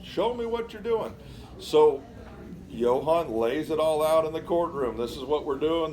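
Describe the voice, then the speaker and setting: Lively intonation from a man at a moderate pace, over noticeable background noise. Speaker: exhibit presenter. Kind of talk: museum talk to visitors.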